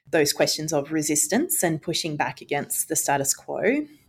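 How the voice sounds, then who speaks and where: A woman with a very deep, low pitch speaks with an Australian accent. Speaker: education researcher, former school principal. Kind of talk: interview.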